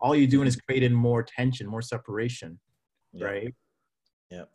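A man with a Canadian accent speaks at a moderate pace. His voice is somewhat breathy. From Saudi Arabia, then Calgary, Canada. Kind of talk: casual discussion.

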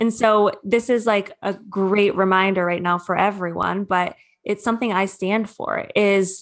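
A woman talks at a fairly slow pace in a Midwestern American accent, her pitch medium. Her intonation is monotone and flat. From Michigan, Metro Detroit. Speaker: spiritual coach. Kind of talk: interview.

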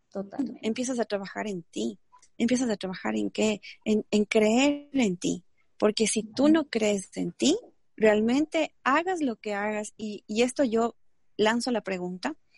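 Somewhat breathy and fairly high in pitch, a woman talks at a fairly slow pace with ordinary pitch variation. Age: 30s. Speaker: entrepreneur and network marketer. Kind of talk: interview. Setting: video call. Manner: animated.

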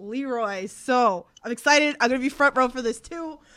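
A woman with a strong Queens accent speaks at a high pitch with ordinary pitch variation. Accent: thick New York (Queens). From Queens, New York. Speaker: wrestling podcast host. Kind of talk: casual interview chat. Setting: online livestream with chat.

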